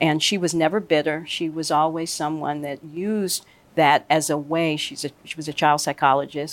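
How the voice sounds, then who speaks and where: On a very clean recording with a silent background, a woman with an American accent and a very deep, low pitch talks at a moderate pace with fairly even intonation. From US Midwest, Chicago. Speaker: sports league executive. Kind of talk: interview.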